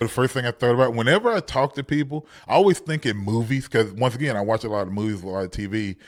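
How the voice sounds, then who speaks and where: In a very clean recording with a silent background, a man with an American accent speaks at a very fast pace with hardly any pauses. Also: ordinary pitch variation. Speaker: stand-up comedian and comedy teacher. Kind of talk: casual chat.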